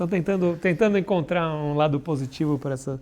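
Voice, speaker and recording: Talking at a moderate pace, a man with a dark, mellow tone and a fairly high pitch shows ordinary pitch variation. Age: 40s. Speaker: comic artist. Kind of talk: casual chat. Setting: live stream.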